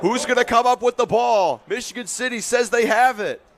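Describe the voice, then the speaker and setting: A man is talking. There is noticeable background noise throughout. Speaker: football play-by-play announcer. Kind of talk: live football play-by-play commentary.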